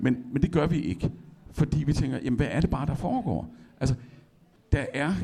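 This man has a normal speaking voice at medium pitch. He talks at a fairly slow pace with lively intonation. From Denmark, Esbjerg. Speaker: poet. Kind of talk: public conversation on stage. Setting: library stage with audience.

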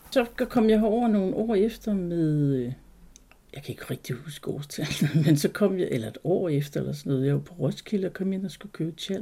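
The voice has a dark, mellow tone with very wide pitch swings and big swings in loudness. It moves at a moderate pace. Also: woman, fairly low pitch for a woman. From Jutland, Denmark. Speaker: Christiania resident. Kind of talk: interview, personal recollection.

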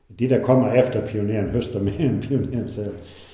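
Over noticeable background noise and audible room echo, a man talks at a fairly slow pace. His pitch varies in an ordinary way. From Southern Jutland, near Tønder, German minority. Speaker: retired dairy farmer. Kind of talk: interview. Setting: at home. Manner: halting.

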